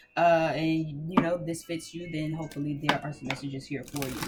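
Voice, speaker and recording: The speaker keeps a moderate pace while music plays in the background. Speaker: tarot reader. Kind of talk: tarot reading. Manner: casual, filler-heavy.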